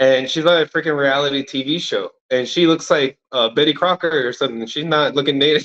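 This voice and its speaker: An American-accented man with a plain, everyday voice speaks at a fairly high pitch and fairly quick pace, with fairly even intonation and hardly any pauses. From California. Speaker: audience member. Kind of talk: casual discussion.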